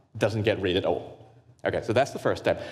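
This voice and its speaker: A man is speaking. His voice has vocal fry. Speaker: grant consultant and workshop presenter. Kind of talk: workshop presentation. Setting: live workshop with audience. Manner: fast; halting with many fillers and repetitions.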